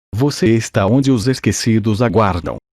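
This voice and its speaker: In a put-on character voice, a man booms and rumbles at medium pitch. His pace is moderate, on a very clean recording with a silent background. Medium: read story. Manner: portentous, solemn.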